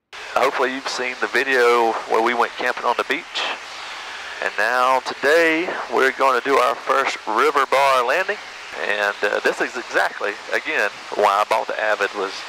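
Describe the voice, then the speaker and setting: A man speaks at a moderate pace over noticeable background noise. The sound is dry, with no echo. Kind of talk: casual vlog commentary. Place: plane. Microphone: headset.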